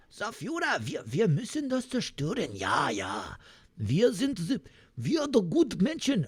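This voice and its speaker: A man puts on a character voice in a German accent, pitched high for a man. He speaks at a fairly slow pace, with very wide pitch swings. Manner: clumsy, mixed English and German.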